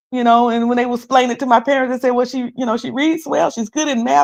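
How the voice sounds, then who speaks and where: At a very fast pace, a woman talks in a high voice. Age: 50s. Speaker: live streamer. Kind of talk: casual live stream chat. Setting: live stream.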